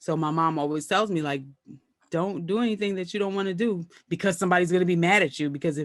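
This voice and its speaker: A woman speaks at a fairly low pitch. She goes at a very fast pace with ordinary pitch variation. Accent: American. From Brooklyn, New York. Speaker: comedian and actress. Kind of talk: casual interview chat.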